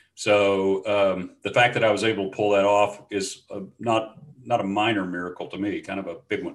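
In a Louisiana accent, a man with a fairly low pitch speaks at a moderate pace with monotone, flat intonation and hardly any pauses. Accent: Louisiana Southern US. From US South. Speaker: former pastor, change management consultant. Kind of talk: interview conversation.

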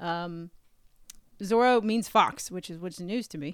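A woman with an American accent speaks at a moderate pace in a plain, everyday voice. Her intonation is lively. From US South, North Carolina. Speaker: podcast co-host. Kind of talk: casual chat.

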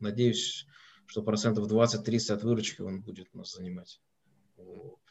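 A man speaks at a moderate pace in a fairly low pitch. His intonation stays fairly even. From Russia, Moscow. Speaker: company president and owner. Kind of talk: online webinar interview.

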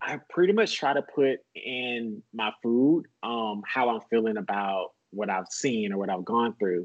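A man with an American accent and a plain, everyday voice speaks fairly slowly at a medium pitch, with ordinary pitch variation and hardly any pauses. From US South, small-town Georgia. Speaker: personal chef. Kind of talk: casual interview chat.

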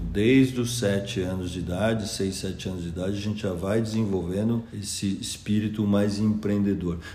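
An ordinary speaking voice at a moderate pace, with hardly any pauses. The intonation stays fairly even. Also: man, fairly low pitch for a man. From interior of São Paulo state, Piracicaba. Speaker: school founder, former lawyer and investor. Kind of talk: interview. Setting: at the school.

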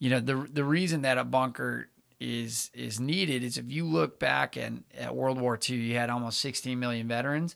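A man's medium-pitched voice at a moderate pace, with fairly even intonation, in a very clean recording over a silent background. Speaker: startup center director and veteran. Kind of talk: casual interview. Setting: studio. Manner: measured cadence.

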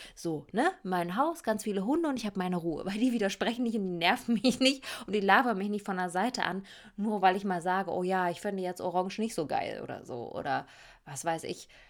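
An animated woman at a medium pitch, lively in intonation and fairly quick in pace, on a very clean recording with a silent background. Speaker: podcast host. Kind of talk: casual monologue.

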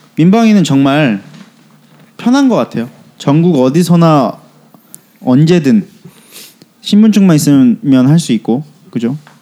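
A man at a fairly slow pace with very wide pitch swings, over noticeable background noise. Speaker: podcast host. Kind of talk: casual chat.

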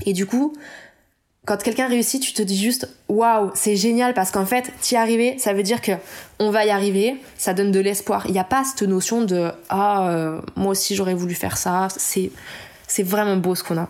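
A woman talks at a moderate pace and medium pitch, with ordinary pitch variation. Hers is an unremarkable speaking voice. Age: 30s. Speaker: illustrator. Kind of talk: interview. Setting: at home.

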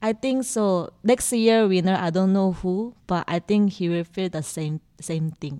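Recorded very cleanly with a silent background and a dry, close sound with no echo, a woman speaks at a fairly slow pace, medium pitch and ordinary pitch variation in a dark, mellow tone. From South Korea. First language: Korean. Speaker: bartender. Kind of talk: interview. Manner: halting.

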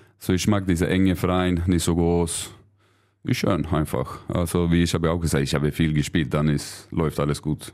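Very deep and low in pitch, a man with a Swedish accent speaks at a moderate pace with very even loudness on a very clean recording with a silent background. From Sweden. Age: 30s. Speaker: handball player. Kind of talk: interview.

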